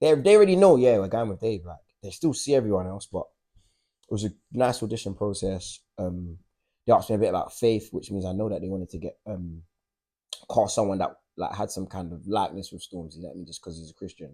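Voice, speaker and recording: A man's dark, mellow voice at a very fast pace, fairly low in pitch, with ordinary pitch variation and big swings in loudness. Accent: South London. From South London. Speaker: actor and writer. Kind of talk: interview answer. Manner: casual, conversational.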